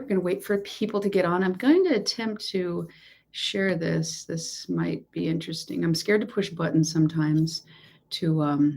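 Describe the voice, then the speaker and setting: In an American accent, a woman speaks with a fairly low pitch, a dark, mellow tone and vocal fry. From Texas. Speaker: law of assumption coach. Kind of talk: livestream chat. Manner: loud.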